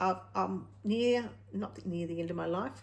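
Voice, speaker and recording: A woman is talking. Her speech carries an Australian accent. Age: 50s. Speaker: retired craft vlogger. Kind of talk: casual vlog talk to camera. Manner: halting.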